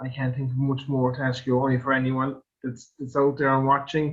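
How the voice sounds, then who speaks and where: A man's fairly high, somewhat breathy voice at a moderate pace. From Ireland, Kerry/Limerick. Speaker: podcast host. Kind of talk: podcast interview.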